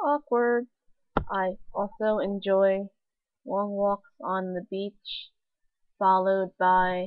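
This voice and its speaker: Over a quiet background, a woman speaks at a very slow pace with long, frequent pauses. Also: medium pitch for a woman, ordinary pitch variation. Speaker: vlogger. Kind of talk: casual vlog monologue. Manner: put-on weird voice; halting with pauses. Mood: playful, self-mocking. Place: home room. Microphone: webcam.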